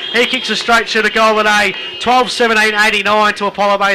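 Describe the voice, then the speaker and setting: A man with a high pitch uses a raised, projected voice at a moderate pace, keeping his loudness very even over noticeable background noise. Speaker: football commentator. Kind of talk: live sports commentary of an Australian rules football match. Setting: radio broadcast from a football ground.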